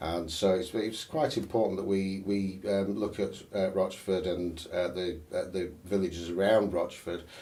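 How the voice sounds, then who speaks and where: Speaking with a Sheffield accent, a man's very deep, low voice has a dark, mellow tone and fairly even intonation, moving at a fairly slow pace with hardly any pauses amid audible room echo. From northern England, Sheffield. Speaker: election candidate. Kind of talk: interview. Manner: halting, many fillers and false starts.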